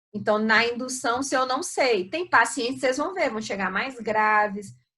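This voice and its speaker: A woman's bright, sharp voice at a fairly high pitch, with ordinary pitch variation and audible room echo. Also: moderate pace. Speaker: surgery professor. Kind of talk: lecture. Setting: video call.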